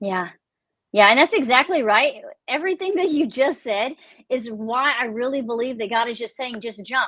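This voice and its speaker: Lively intonation in a Texan accent, at a moderate pace, with a bright, sharp tone. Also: woman, high pitch for a woman. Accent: Texan Southern US. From Texas. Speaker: author. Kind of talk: casual chat. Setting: live stream video call.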